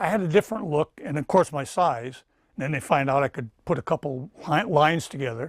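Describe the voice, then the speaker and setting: With an American accent, a man speaks at a fairly quick pace and a fairly high pitch with ordinary pitch variation, captured on a very clean recording with a silent background and a dry, close sound with no echo. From New Jersey. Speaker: actor and stuntman. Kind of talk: interview. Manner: halting.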